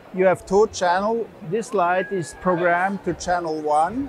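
A man with a high pitch talks at a fairly slow pace. The sound is dry with no echo, with light background noise. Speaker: exhibitor demonstrating product. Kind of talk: product demonstration. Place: hall.

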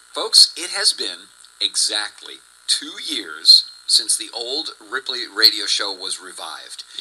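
A man's fairly slow speech with big swings in loudness over noticeable background noise. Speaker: radio show host. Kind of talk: radio show intro. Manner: upbeat.

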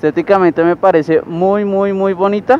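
Pitched high, a man talks at a fairly slow pace with fairly even intonation. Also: dry sound with no echo. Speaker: motorcycle reviewer. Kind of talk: casual review vlog. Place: street. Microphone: helmet.

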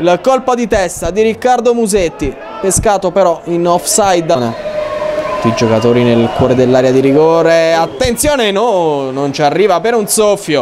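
A man's high-pitched voice with very wide pitch swings and very even loudness, crowd noise in the background. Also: moderate pace. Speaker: football commentator. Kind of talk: live football match commentary. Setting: stadium, rain and hail. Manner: animated.

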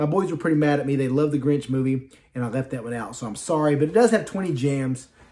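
A man talks at a fairly quick pace and a fairly high pitch. His tone is dark and mellow.

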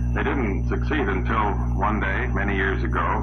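A man speaks. Music plays in the background. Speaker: presenter. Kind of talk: scripted promotional presentation. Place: studio.

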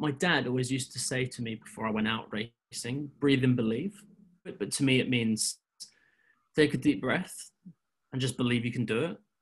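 A man at a fairly quick pace with ordinary pitch variation, long and frequent pauses, and a quiet background. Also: medium pitch for a man. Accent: English. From England. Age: 20s. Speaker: driving instructor. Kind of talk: interview. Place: home room. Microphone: webcam.

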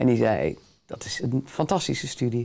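A woman's dark, mellow tone with vocal fry at a moderate pace. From Netherlands, The Hague; Netherlands. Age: 60s. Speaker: theatre director; interview guest. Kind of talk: interview. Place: studio.

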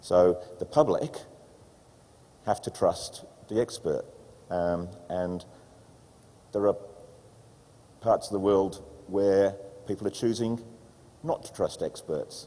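Speaking very slowly with long, frequent pauses, a man with an Australian accent shows big swings in loudness. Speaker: environmental regulator. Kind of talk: panel presentation. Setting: stage with audience. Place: hall.

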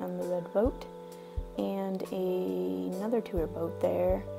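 Clear music sits in the background. Over it, a woman speaks. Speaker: travel vlogger. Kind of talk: casual travel commentary. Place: bus. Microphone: phone near.

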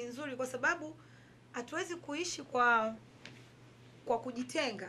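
A woman with a high pitch over light background noise. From Tanzania. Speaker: tailor and fashion entrepreneur; interviewee. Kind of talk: interview. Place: home room.

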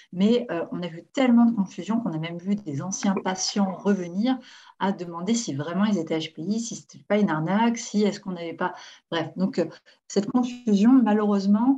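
A woman with a dark, mellow, somewhat breathy tone speaks at a moderate pace with ordinary pitch variation. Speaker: therapist hosting online session. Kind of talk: webinar introduction. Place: home room. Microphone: video call.

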